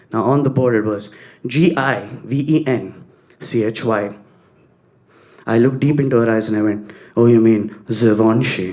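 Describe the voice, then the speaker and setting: A man speaks in a South Indian accent with long, frequent pauses. Audible room echo is present. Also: medium pitch for a man, ordinary pitch variation, moderate pace. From Bangalore, India. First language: Kannada. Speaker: stand-up comedian. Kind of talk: stand-up.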